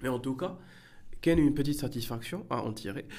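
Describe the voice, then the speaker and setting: A man's dark, mellow voice with audible room echo. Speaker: ENT doctor. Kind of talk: casual interview. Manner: halting.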